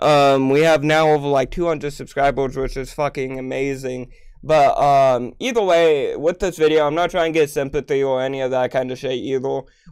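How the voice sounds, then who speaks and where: A man with an unremarkable speaking voice speaks at a moderate pace with hardly any pauses. His pitch is fairly high and his intonation fairly even. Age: 20s. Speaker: gaming youtuber. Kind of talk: casual vlog monologue. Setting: home recording room with green screen.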